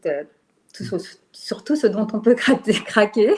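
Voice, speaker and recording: Here a woman talks. The rise and fall of her pitch is typical. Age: 60s. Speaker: retired teacher. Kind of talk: testimony. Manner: halting.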